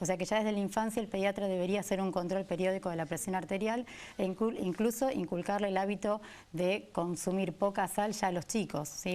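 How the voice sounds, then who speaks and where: A woman speaks in a plain, everyday voice at a medium pitch. Her pace is fairly quick and her intonation fairly even. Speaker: cardiologist. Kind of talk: interview answer.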